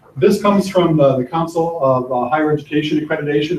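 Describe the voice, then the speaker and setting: A somewhat breathy man's voice, fairly high in pitch, with fairly even intonation and a very fast pace. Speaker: college faculty presenter. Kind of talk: workshop presentation. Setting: classroom, live streamed.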